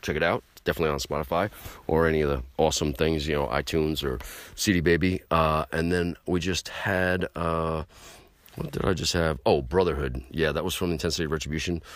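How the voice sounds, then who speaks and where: A man's very deep, low voice with vocal fry and an American accent, fairly quick pace, very clean recording and silent background. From New York City (Queens). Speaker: podcast host, hardcore punk musician. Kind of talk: casual monologue. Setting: late night home show. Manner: animated.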